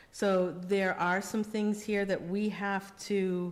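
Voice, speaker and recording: A woman speaks in a medium pitch. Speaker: budget committee chair. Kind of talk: public meeting discussion. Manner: hesitant, many fillers.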